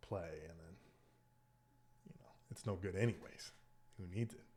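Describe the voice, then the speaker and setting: This man speaks at a moderate pace in a fairly low, somewhat breathy voice with ordinary pitch variation. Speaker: chess streamer. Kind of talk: casual gameplay commentary. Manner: thinking aloud, halting.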